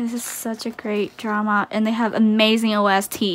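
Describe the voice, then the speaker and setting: Someone female, a woman, speaks at a fairly slow pace. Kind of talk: casual unboxing chat. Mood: excited, delighted. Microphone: phone near.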